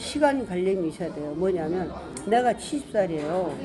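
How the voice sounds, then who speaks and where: A woman speaks at a medium pitch and a moderate pace with lively intonation, her voice carrying audible room echo over crowd noise in the background. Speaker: poetry recitation association president. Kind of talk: life story interview.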